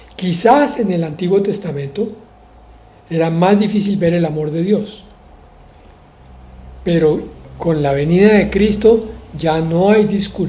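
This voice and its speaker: Audible room echo surrounds a man with a high pitch and ordinary pitch variation. He speaks at a fairly slow pace with long, frequent pauses. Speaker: pastor. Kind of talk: sermon.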